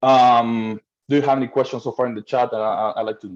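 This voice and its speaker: A man talks at a fairly quick pace in a medium pitch. The sound is dry and close, with no echo. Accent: Argentine. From Argentina, Buenos Aires. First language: Spanish. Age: 30s. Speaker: rental management company owner. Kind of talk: webinar presentation. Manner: halting, repeats words.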